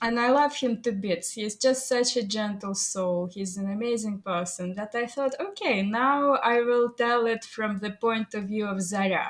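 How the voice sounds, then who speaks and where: Hardly pausing, a woman with a Russian accent talks at a moderate pace in a fairly high voice with ordinary pitch variation, over noticeable background noise. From Soviet Union. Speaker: AI artist and photographer. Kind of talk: interview. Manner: halting.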